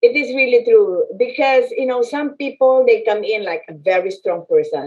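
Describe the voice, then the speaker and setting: This woman talks at a moderate pace in a high voice, and her pitch swings very widely. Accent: Filipino. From Philippines. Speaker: business chamber president and land specialist. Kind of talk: interview conversation.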